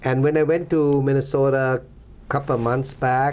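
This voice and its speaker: A man with a Thai accent speaks at medium pitch. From Thailand. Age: 60s. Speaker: former Thai officer, donor. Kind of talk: interview. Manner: halting.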